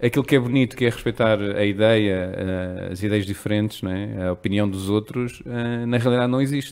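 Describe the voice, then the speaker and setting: A plain, everyday voice moves at a moderate pace with hardly any pauses. Its pitch variation is ordinary. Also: man, fairly low pitch for a man. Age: 30s. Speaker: strategist. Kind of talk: casual chat.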